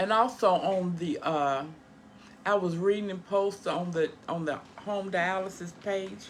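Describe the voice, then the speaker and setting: A woman with a medium pitch speaks fairly slowly with ordinary pitch variation, and audible room echo surrounds her. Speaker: home dialysis care partner, vlogger. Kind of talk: casual vlog talk. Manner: halting, stumbling.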